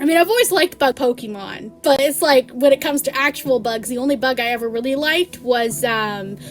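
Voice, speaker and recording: Over music in the background, a woman with a high pitch talks at a fairly quick pace with lively intonation. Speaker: vtuber streamer. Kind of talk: casual live stream chat. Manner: fast; animated.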